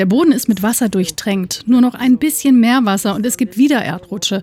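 With an unremarkable speaking voice, a woman talks at a moderate pace with lively intonation. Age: 30s. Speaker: newspaper editor. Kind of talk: interview. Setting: outdoors.

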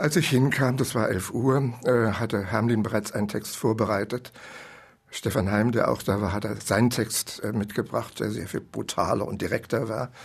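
Fairly even intonation from a man with a somewhat breathy voice. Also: medium pitch for a man, moderate pace. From East Germany. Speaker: writer. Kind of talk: interview recollection.

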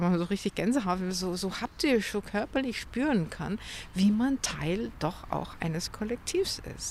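Her voice is somewhat breathy and sits at a medium pitch for a woman. She speaks at a fairly slow pace with lively intonation. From Munich, Bavaria. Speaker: novelist. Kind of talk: interview conversation. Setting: outdoors by a lake at a grave.

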